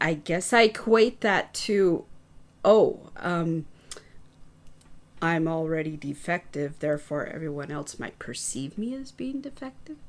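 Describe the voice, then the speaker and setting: A soft-spoken woman with a fairly low pitch talks at a fairly slow pace, leaving long, frequent pauses. Her pitch swings very widely and her loudness rises and falls sharply. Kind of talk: casual chat.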